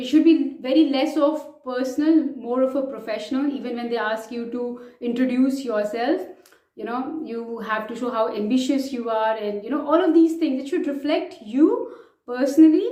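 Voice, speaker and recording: In an Indian accent, a woman with a high pitch speaks at a moderate pace with ordinary pitch variation and big swings in loudness, with audible room echo. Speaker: vlogger, chartered accountant. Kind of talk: advice vlog.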